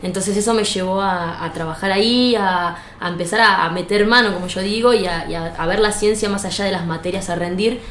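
A woman speaks at a medium pitch with fairly even intonation. Audible room echo and noticeable background noise are present. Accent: Argentine. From Argentina, Buenos Aires province coast. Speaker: physicist and lecturer. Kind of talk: interview. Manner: halting, many repetitions.

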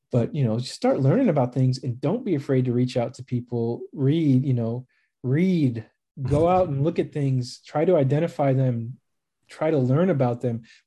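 A man's somewhat breathy, dark, mellow voice with an American accent, medium pitch, ordinary pitch variation and a moderate pace over a quiet background. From US Midwest, suburbs of Chicago. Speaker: naturalist and biologist. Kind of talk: casual interview.

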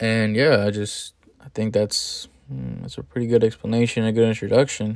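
At a moderate pace, a man speaks at a medium pitch with ordinary pitch variation in a plain, everyday voice. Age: 20s. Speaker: podcast host and young entrepreneur. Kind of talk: casual monologue. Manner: rambling with many fillers.

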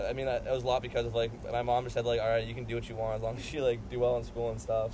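A man in an American accent speaks at a very fast pace with hardly any pauses, amid noticeable background noise and audible room echo. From San Diego, California. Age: 20s. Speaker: university student. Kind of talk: casual chat. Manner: halting, filler-heavy.

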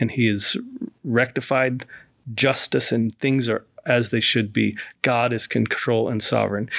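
On a very clean recording with a silent background, a man with a medium pitch and vocal fry talks at a moderate pace with fairly even intonation. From moved around the US. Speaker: pastor and chaplain. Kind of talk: casual interview. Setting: studio.

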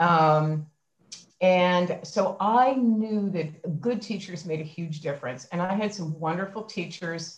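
A woman with an American accent speaks at a very slow pace, somewhat breathy. Her pitch is fairly low, with ordinary variation. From Philadelphia. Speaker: university president. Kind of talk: casual interview. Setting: video call.

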